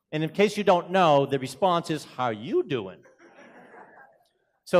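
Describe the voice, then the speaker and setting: In a strong Boston accent, a man talks at a fairly quick pace and a fairly high pitch, with an animated tone and very wide pitch swings. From Boston, US. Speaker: keynote speaker, executive director of a consultancy. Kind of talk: conference presentation. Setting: conference stage with audience.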